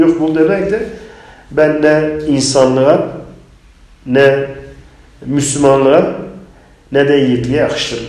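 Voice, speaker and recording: A man at a fairly slow pace, fairly even intonation, audible room echo. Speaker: member of parliament; politician guest. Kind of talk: interview on politics. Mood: indignant, earnest. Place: studio.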